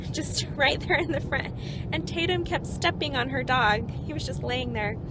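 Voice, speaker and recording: Against loud background noise, a woman speaks at a fairly quick pace in a dry sound with no echo. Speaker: family travel vlogger. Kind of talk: casual vlog chat. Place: car. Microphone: phone near.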